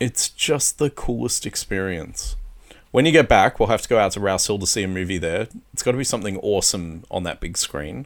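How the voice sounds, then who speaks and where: Fairly low, lively male voice with an Australian accent at a fairly quick pace. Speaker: co-host. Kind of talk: casual chat.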